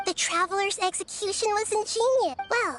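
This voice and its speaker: Amid clear background noise, a put-on character voice with an extremely high pitch speaks at a moderate pace. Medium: video game.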